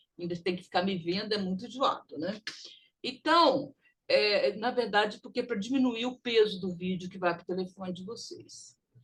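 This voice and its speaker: A woman's somewhat breathy, medium-pitched voice with lively intonation and big swings in loudness. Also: moderate pace. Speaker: English teacher. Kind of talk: recorded online lesson.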